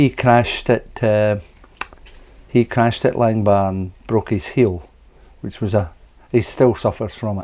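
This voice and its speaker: With a Scottish accent, a man talks at a medium pitch. His pace is fairly slow and his intonation fairly even. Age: 70s. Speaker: retired scooter racer. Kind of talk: interview answer.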